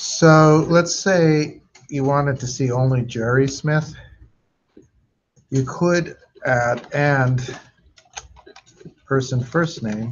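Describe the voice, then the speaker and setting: A man with a fairly high pitch speaks at a very slow pace, leaving long, frequent pauses. His intonation stays fairly even, and audible room echo surrounds him. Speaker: database instructor. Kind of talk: lecture.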